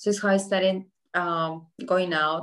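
A woman with a Colombian accent at a fairly slow pace. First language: Spanish. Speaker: journalist and communications entrepreneur. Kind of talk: interview sharing life story with students.

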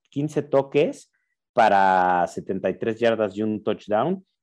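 A man's medium-pitched voice with lively intonation, at a very slow pace, over a quiet background. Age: 40s. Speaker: fantasy football podcast co-host. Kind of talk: casual chat.

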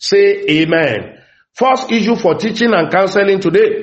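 Moderate pace and high pitch in a man's voice. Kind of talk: fervent prayer and prophetic declaration. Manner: loud, commanding, rhythmic, urgent and emphatic.

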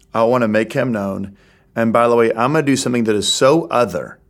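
A normal speaking voice from a man, medium in pitch, with fairly even intonation. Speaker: podcast host, church leader. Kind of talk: interview.

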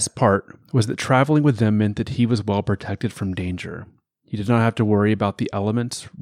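An unforced reading voice is heard with a quiet background behind it.

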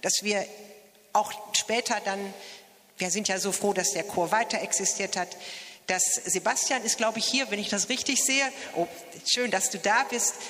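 Speaking at a moderate pace, a woman uses a medium pitch with ordinary pitch variation. Long, frequent pauses break up her speech over noticeable background noise. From Mettingen, Westphalia, Germany. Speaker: church choir member. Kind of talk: interview at a celebration.

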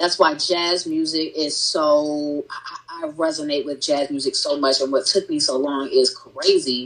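At a fairly slow pace and with hardly any pauses, a woman speaks over noticeable background noise. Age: 30s. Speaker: entrepreneur and gardener. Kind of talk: casual chat.

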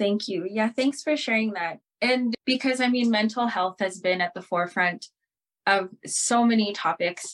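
Using an ordinary speaking voice, a woman with fairly high pitch and ordinary pitch variation talks at a moderate pace in a dry, close sound with no echo. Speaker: podcast host. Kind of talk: interview on a talk show.

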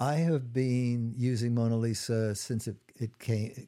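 The man's tone is dark and mellow. The recording is very clean, with a silent background. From Trinidad. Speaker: gynecologist podcast host. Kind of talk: interview.

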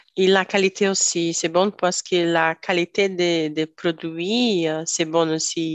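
Delivered at a very slow pace with hardly any pauses, this voice has a Brazilian accent, very even loudness, and monotone, flat intonation. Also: woman, fairly low pitch for a woman. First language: Portuguese (speaking French). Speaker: tech worker. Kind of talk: casual discussion. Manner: halting.

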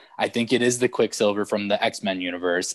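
Recorded with a dry, close sound with no echo against a quiet background, a man with a normal speaking voice talks at a fairly low pitch with fairly even intonation. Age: 30s. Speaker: podcast co-host. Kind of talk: casual chat.

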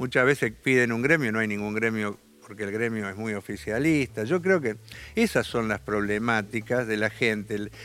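This man has an ordinary speaking voice, medium in pitch with ordinary pitch variation, and he talks at a moderate pace. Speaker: left-wing politician. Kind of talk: interview.

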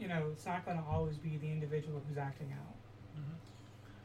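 This woman's very deep, low voice comes through with audible room echo and noticeable background noise. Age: 30s. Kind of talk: testimony.

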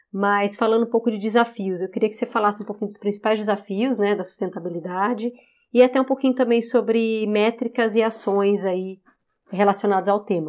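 In an ordinary speaking voice, a woman talks at a fairly quick pace with a fairly high pitch. Her intonation is fairly even, on a very clean recording with a silent background. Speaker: podcast host. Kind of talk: interview.

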